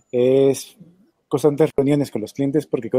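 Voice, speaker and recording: At a moderate pace, a man with a fairly high pitch talks in a dry, close sound with no echo. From Colombia. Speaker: marketing agency owner. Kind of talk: interview.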